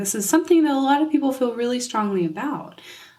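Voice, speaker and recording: Audible room echo colors the recording. Through it, a woman talks with lively intonation. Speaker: podcast host, nutrition coach. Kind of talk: solo podcast talk. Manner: casual, many fillers.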